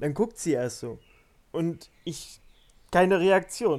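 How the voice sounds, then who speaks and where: A man's fairly high-pitched voice. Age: 20s. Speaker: podcast guest, hosts' brother. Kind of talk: casual chat.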